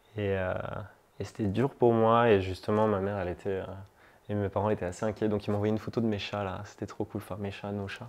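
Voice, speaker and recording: His pitch is fairly low. The man talks at a very fast pace. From southern France, La Ciotat (Provence). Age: 30s. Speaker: climate activist. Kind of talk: interview testimony. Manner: casual, hesitant with many fillers.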